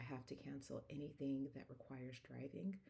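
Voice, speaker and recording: Quietly and at a fairly slow pace, a woman speaks at a very deep, low pitch with a calm tone that is dark and mellow. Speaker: wellness coach and speaker. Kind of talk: casual vlog. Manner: quiet and calm; halting, frequent fillers.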